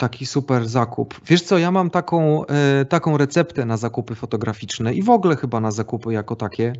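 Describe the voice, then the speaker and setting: With an ordinary speaking voice, a man at medium pitch talks at a fairly quick pace, his intonation lively and hardly any pauses between words. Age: 40s. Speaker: photographer. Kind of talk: casual chat.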